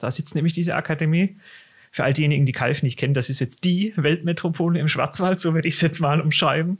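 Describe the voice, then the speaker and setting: On a very clean recording with a silent background, a man talks at a fairly quick pace in a somewhat breathy voice, his fairly high pitch held in fairly even intonation. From Swabia, southern Germany. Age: 30s. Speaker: tax advisor and exam tutor. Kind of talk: casual podcast chat.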